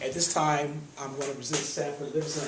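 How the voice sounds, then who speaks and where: Over noticeable background noise and audible room echo, a man with an American accent talks at a very fast pace, his pitch fairly high and his intonation fairly even. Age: 50s. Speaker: nonprofit trustee. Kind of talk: speech to an audience.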